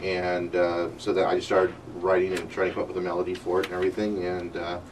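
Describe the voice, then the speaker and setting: A man talks at a very fast pace in a very deep, low, monotone, flat voice, with noticeable background noise around him. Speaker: singer-songwriter. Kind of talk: radio interview. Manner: halting, many fillers.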